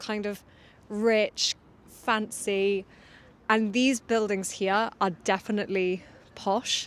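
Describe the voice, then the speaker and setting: Speaking very slowly, a woman with an RP accent uses a fairly high pitch. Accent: modern RP, a little posh. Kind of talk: polished, explanatory.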